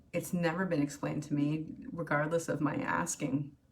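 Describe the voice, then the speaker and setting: With noticeable background noise behind her, a woman speaks at a moderate pace in a very deep, low pitch, her intonation flat and monotone. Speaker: video blogger. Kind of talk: personal vlog monologue. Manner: halting, many fillers.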